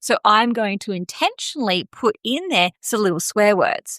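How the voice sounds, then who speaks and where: A woman with an Australian accent and lively intonation, in a dry, close sound with no echo. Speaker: podcast host, marketing coach. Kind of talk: podcast monologue, business advice. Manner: casual, conversational.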